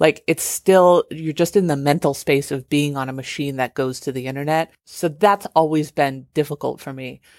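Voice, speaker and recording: A woman with a very deep, low pitch and fairly even intonation speaks at a moderate pace with hardly any pauses and big swings in loudness. The recording is very clean with a silent background, with a dry, close sound with no echo. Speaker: TV writer and novelist. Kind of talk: recorded update message.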